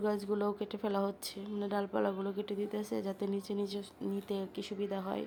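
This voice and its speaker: This voice belongs to a woman. It stays at a medium pitch. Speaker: vlogger. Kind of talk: casual vlog narration.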